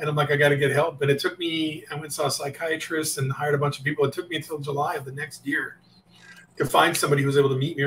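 Speaking at a very fast pace in a monotone, flat intonation, a man with a fairly high pitch is heard over light background noise. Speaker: phone sales coach for realtors. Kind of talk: casual, conversational. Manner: fast talker. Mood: reflective, personal story. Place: office.

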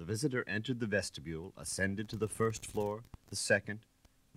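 Plain reading aloud with fairly even intonation.

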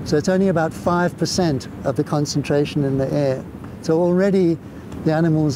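A man talks at a fairly quick pace with ordinary pitch variation, the sound dry with no echo and noticeable background noise. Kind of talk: interview answer. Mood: warm, enthusiastic. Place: beach. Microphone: lapel.

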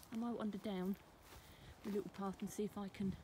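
The voice is somewhat breathy, moving at a fairly quick pace with fairly even intonation. The sound is dry with no echo, over light background noise. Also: woman. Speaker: folklore vlogger. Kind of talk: casual vlog chat. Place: open country. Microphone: phone near.

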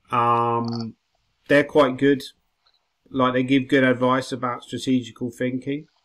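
A man with an English accent talks at a fairly slow pace in a monotone, flat intonation, leaving long, frequent pauses. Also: medium pitch for a man. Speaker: chess grandmaster and coach. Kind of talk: chess lesson. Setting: video call.

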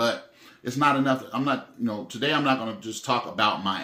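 With audible room echo, a man talks at a moderate pace with ordinary pitch variation. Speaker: vlogger. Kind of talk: casual vlog chat, reflective. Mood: calm, reflective, serious. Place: home room. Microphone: phone near.

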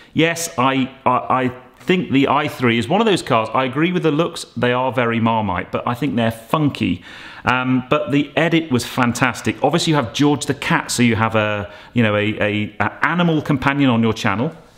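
Ordinary pitch variation and a moderate pace shape the voice of a man. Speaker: car vlogger. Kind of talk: casual vlog chat. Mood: enthusiastic, warm. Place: home room. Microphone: phone near.

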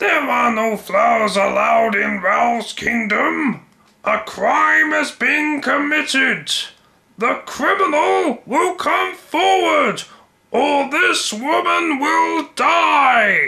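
Extremely high for a man, a raised, projected voice speaks at a very slow pace. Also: very even loudness. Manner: barking, threatening.

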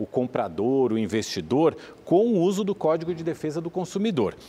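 A man speaks in a dark, mellow tone at a fairly high pitch, his voice swinging very widely up and down. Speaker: financial commentator; TV news commentator. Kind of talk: explainer. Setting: studio. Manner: conversational. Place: studio. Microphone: lapel.

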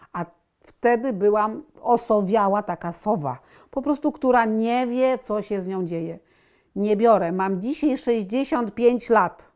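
Speaking at a very slow pace, a woman with a fairly high pitch shows ordinary pitch variation on a very clean recording with a silent background. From Poland, Warsaw. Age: 60s. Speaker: patient. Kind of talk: testimony.

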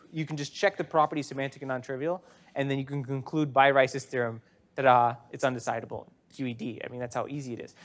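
Talking at a very fast pace, a man shows ordinary pitch variation and big swings in loudness. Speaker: university lecturer. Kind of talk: lecture. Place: classroom. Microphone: lapel.

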